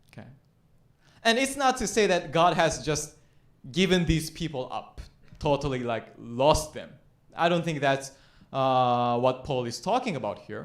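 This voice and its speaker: With audible room echo, a man speaks fairly slowly at a fairly high pitch, with big swings in loudness and long, frequent pauses. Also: lively intonation. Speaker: pastor. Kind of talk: sermon.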